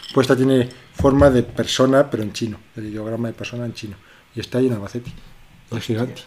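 A man's medium-pitched voice, very fast and monotone with flat intonation. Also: big swings in loudness. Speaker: podcast co-host. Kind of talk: casual chat.

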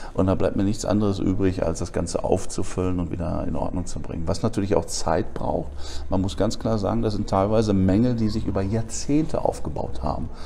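A fairly low-pitched man at a fairly quick pace, with audible room echo and noticeable background noise. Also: lively intonation. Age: 40s. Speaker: alternative medicine therapist. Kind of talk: interview.

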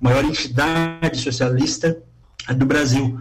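A man's medium-pitched voice keeps a fairly even intonation. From Tubarão, Santa Catarina, Brazil. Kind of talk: live radio interview. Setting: radio studio. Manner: halting.

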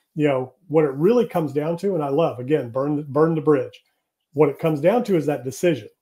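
A man with a dark, mellow tone and fairly high pitch sounds somewhat breathy. His pitch varies in an ordinary way, and his pace is fairly quick. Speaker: real estate developer and business coach. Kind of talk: interview.

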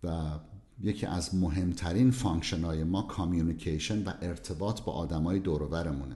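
A man's very deep, low, somewhat breathy voice with a dark, mellow tone, ordinary pitch variation and audible room echo. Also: moderate pace. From southern Iran. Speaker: cardiologist. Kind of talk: interview.

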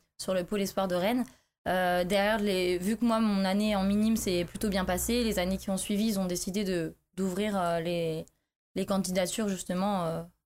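Backed by music, a woman speaks at a moderate pace and a medium pitch. Her loudness stays very even and her intonation is monotone and flat. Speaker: former judo athlete turning to MMA. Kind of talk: casual interview.

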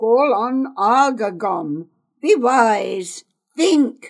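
A woman puts on a raspy character voice at a fairly high pitch, speaking at a very slow pace. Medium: read story. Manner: blunt, gruff.

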